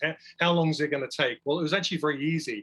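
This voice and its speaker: This man's voice sits at a fairly high pitch and has a bright, sharp tone. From England. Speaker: wildlife filmmaker. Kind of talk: presentation.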